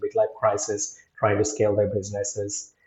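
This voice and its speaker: A man's fairly low voice, somewhat breathy, at a moderate pace. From India. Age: 40s. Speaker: digital marketing agency owner. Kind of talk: interview.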